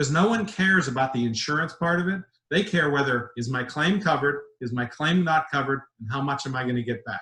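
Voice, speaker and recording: At a very fast pace, a man talks in a fairly high pitch with lively intonation. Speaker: risk management executive presenting a webinar. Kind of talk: webinar presentation. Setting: online webinar. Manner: animated.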